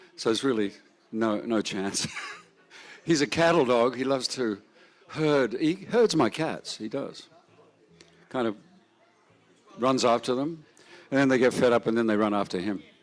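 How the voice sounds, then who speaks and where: Moderate pace in an Australian accent, with ordinary pitch variation and long, frequent pauses. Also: man, medium pitch for a man. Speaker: festival emcee. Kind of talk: casual stage banter.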